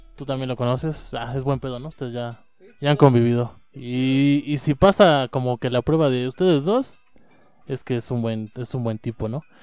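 A man speaks in a Mexican accent at a moderate pace, his medium-pitched voice holding fairly even intonation but showing big swings in loudness. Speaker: friend of the host. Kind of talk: casual chat.

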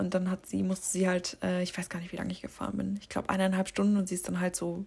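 A woman talks at a medium pitch, her voice somewhat breathy. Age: 20s. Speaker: solo podcaster. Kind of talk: casual monologue.

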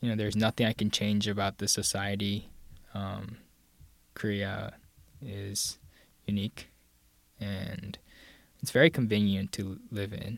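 A man talks fairly slowly in a fairly low, monotone voice with flat intonation, leaving long, frequent pauses. The recording is very clean, with a silent background. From Pakistan (Karachi), Korean family. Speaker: guest. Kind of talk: casual chat. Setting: studio. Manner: laughs often, somewhat shy.

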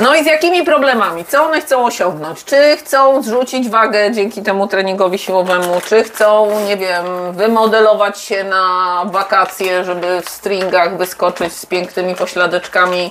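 Woman at a medium pitch with lively intonation, moderate pace, hardly any pauses, big swings in loudness, and noticeable background noise. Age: 50s. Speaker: podcast host, mother of the guest. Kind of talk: casual chat while cooking. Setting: home kitchen, cooking.

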